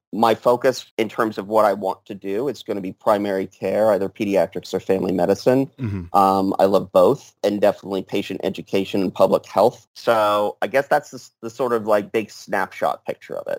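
In a plain, everyday voice, a man talks at a fairly quick pace and fairly low pitch with fairly even intonation and hardly any pauses, on a very clean recording with a silent background. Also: dry, close sound with no echo. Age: 30s. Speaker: medical doctor and vaccine researcher. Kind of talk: casual interview.

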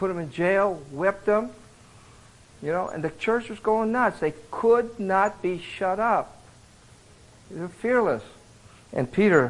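A man with an American accent. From Iowa, US Midwest. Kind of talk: sermon. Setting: men's retreat with live audience.

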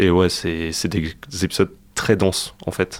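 A man's very deep, low voice in a monotone, flat delivery at a fairly slow pace. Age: 20s. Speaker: student podcaster. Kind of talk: radio interview.

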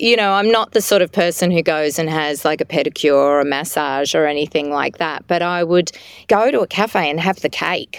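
An unremarkable speaking voice from a woman, fairly low in pitch with ordinary pitch variation and a moderate pace, in a dry, close sound with no echo on a very clean recording with a silent background. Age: 50s. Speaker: author. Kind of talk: interview.

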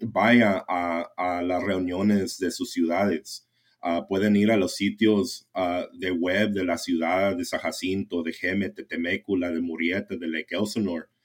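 Here a man speaks in a very deep, low pitch, monotone and flat, at a fairly slow pace. The recording is very clean with a silent background. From US West Coast (San Jacinto Valley, California). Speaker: conservation advocate. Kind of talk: casual interview.

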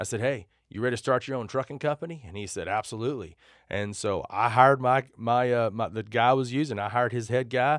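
In a very clean recording with a silent background, a man with a West Texas accent talks at a very fast pace, with a medium pitch and ordinary pitch variation. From Texas, Amarillo. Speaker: trucking company owner. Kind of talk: interview. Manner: casual, with many fillers.

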